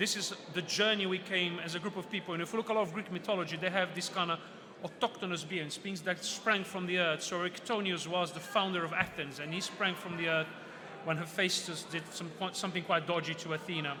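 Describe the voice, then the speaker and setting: This man has a high-pitched voice. He talks at a very fast pace. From Brazil. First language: Portuguese. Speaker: author and mythology speaker. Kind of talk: book fair talk. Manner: animated.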